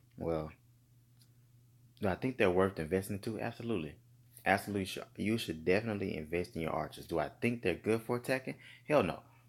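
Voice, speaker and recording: Though he pauses long and often, this man speaks at a very fast pace in a fairly low pitch with ordinary pitch variation, recorded very cleanly against a silent background. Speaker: gaming youtuber. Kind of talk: casual commentary. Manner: lazy, relaxed; hesitant, filler-heavy.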